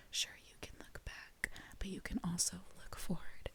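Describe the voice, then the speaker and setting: A woman whispers in a gentle tone. Her pace is moderate. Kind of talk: casual soft-spoken talk to camera. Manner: soft-spoken, gentle.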